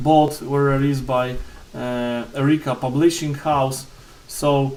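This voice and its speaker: Speaking in a flat monotone with a Polish accent, a man's fairly high voice comes through audible room echo and noticeable background noise. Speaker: board game reviewer. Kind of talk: unboxing review. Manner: halting, many fillers and repetitions.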